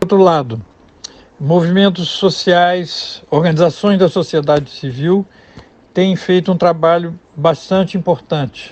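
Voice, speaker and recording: A man with a high pitch, ordinary pitch variation, very even loudness and a fairly slow pace. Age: 70s. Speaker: sociologist, professor. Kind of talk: radio interview. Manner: halting, many fillers.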